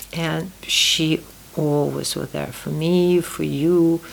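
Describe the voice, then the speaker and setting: This woman speaks with a Russian accent. Noticeable background noise is present. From Uzbekistan (Tashkent), Soviet Union. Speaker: podcast host's mother. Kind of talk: family conversation. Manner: halting.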